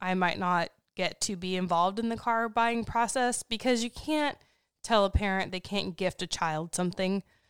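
With a plain, everyday voice, a woman speaks at a moderate pace and medium pitch, her intonation fairly even, in a very clean recording with a silent background. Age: 30s. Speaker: podcast co-host and life coach. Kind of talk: casual chat. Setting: home studio, recorded for livestream.

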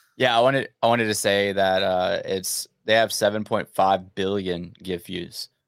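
Recorded dry and close with no echo against a silent background, a man talks in an ordinary speaking voice at a fairly low pitch and a moderate pace. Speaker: podcast host. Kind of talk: casual chat. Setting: live stream.

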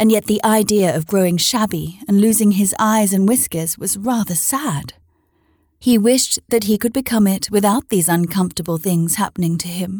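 Somewhat breathy and medium in pitch with ordinary pitch variation, a woman's voice comes through dry and close with no echo on a very clean recording with a silent background. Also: moderate pace. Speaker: podcast host and storyteller. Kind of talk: literary audiobook reading of a children's classic, bedtime-story style. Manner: animated, playful, child-friendly.

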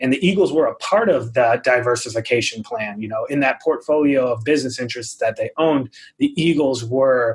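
A man talks fairly quickly at a medium pitch, with hardly any pauses. His voice is somewhat breathy and his pitch varies in an ordinary way. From New England. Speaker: author. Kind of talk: casual chat.

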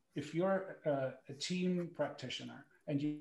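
In a German accent, a man talks at a fairly slow pace with a somewhat breathy voice. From Germany. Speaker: former pro hockey goaltender, sports psychology coach. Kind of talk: panel talk and personal testimony.

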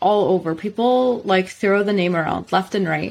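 A fairly slow pace, an unremarkable speaking voice, and ordinary pitch variation. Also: woman. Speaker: podcast host. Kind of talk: casual interview chat.

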